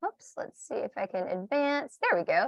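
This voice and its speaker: With an American accent, a woman talks in very wide pitch swings. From US South. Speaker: publishing company representative. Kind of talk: webinar presentation. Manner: fast.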